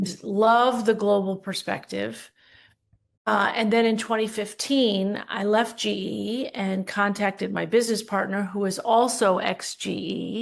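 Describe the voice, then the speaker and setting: Fairly slow and with fairly even intonation, a woman speaks at a medium pitch in a plain, everyday voice. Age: 60s. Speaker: leadership coach and business owner. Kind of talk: podcast interview.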